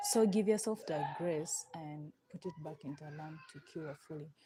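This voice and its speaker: At a moderate pace, a woman with a non-native accent speaks at a fairly low pitch and ordinary pitch variation. Noticeable background noise can be heard. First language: not English. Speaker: nail artist livestreamer. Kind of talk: live tutorial. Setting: live stream. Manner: casual, halting.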